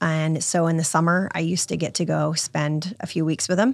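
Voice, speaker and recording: A woman with an American accent speaks at a moderate pace in an ordinary speaking voice, fairly low with ordinary pitch variation. The recording is very clean, with a silent background. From Virginia Beach, Virginia. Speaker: charity founder. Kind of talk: interview.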